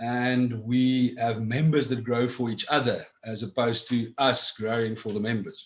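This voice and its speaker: Speaking with a South African accent, a man at a medium pitch keeps a fairly slow pace, fairly even intonation and hardly any pauses. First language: Afrikaans. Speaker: cannabis club director. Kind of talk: interview.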